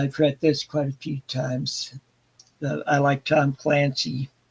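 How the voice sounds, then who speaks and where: In a voice with some breathiness, this man speaks at a fairly slow pace. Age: 60s. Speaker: book channel host. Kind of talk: casual live stream chat. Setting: live stream. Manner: halting, many filler sounds.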